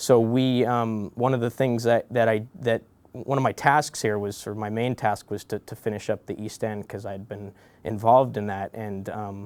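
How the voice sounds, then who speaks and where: With an American accent, a man talks at a moderate pace, with a medium pitch and fairly even intonation. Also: very clean recording, silent background. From US West Coast, San Francisco Bay Area. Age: 30s. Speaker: bridge engineer. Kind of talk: interview. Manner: halting, many repetitions and fillers.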